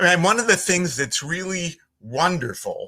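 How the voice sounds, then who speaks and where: In a Philadelphia accent, a man speaks with a bright, sharp tone and very wide pitch swings, recorded very cleanly against a silent background. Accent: Philly. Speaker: voiceover artist. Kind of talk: casual chat.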